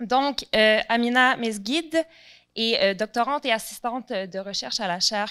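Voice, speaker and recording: With a Quebec accent, a woman speaks in a bright, sharp tone at a fairly high pitch. Her pace is moderate and her pitch variation ordinary. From Quebec, Montreal. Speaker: researcher and panel moderator. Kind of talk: panel introduction.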